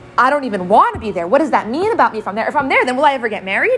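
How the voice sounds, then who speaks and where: Lively intonation marks this woman's high-pitched voice, heard against noticeable background noise. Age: 20s. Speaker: Torah teacher. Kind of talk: lecture.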